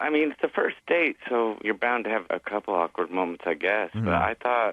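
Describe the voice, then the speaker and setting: A man with a plain, everyday voice speaks at a moderate pace. His pitch is fairly low, with ordinary pitch variation. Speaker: radio show caller. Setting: phone.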